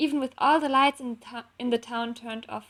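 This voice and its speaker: A high-pitched woman's voice, dry and close with no echo, in a very clean recording with a silent background. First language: not English. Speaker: fanfiction author and illustrator. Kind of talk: reading aloud. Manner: halting.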